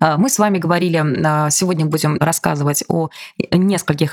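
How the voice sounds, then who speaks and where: Very fast and very deep, a woman's low voice sounds dry and close with no echo. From Bashkortostan, Russia. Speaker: podcast host. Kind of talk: interview.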